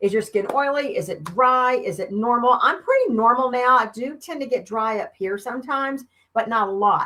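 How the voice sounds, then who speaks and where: In a Southern US accent, this voice moves at a moderate pace with lively intonation and a tone that is animated, bright and sharp. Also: woman. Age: 50s. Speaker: beauty consultant. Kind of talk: live stream sales demo. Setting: live video stream.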